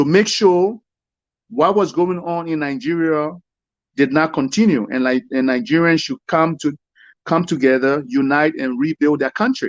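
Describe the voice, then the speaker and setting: The speaker has a Liberian accent and lively intonation. The sound is dry and close with no echo, over a quiet background. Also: man, fairly high pitch for a man, moderate pace. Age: young. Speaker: caller. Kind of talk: heated debate. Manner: animated.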